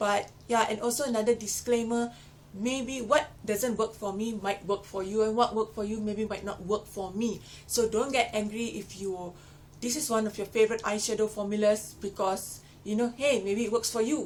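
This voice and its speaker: A woman speaks at a moderate pace with a fairly high pitch. Her intonation stays fairly even over noticeable background noise. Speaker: beauty vlogger. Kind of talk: product review. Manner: casual, chatty.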